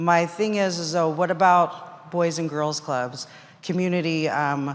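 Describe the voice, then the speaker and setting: The speech keeps a fairly even intonation, and room echo can be heard. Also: woman. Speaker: court clerk asking audience question. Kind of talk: audience question at conference. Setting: audience microphone at conference session. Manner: loud.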